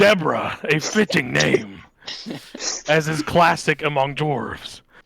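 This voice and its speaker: Putting on a gruff character voice, a man speaks at a fairly high pitch. His pace is fairly slow. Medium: actual play. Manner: intense, gruff.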